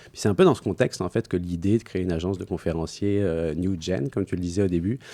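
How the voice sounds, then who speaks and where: A man's very deep, low voice, dark and mellow in tone, at a very fast pace, with a dry, close sound and no echo. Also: ordinary pitch variation, very clean recording, silent background. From France. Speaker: entrepreneur, speakers agency founder. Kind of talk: podcast interview. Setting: studio. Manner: hesitant, many fillers.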